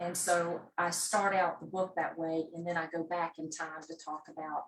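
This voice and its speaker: Speaking in a Southern US accent, a woman keeps a fairly low pitch and a moderate pace, with monotone, flat intonation and hardly any pauses. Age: 60s. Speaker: memoir author. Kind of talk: interview. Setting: video call.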